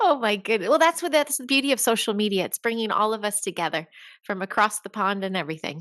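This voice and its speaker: A very fast, fairly high-pitched woman's voice in an American accent, with very wide pitch swings. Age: 50s. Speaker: educator. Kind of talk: interview conversation.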